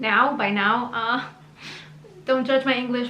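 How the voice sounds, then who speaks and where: A woman's high voice with audible room echo and noticeable background noise. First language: Hebrew. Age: 30s. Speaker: YouTuber. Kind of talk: personal story monologue. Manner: casual, chatty.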